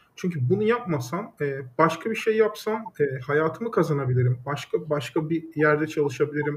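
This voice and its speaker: A fairly high-pitched man with lively intonation at a moderate pace, hardly any pauses. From Turkey, Düzce. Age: 30s. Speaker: startup founder. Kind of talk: interview. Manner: hesitant with frequent fillers.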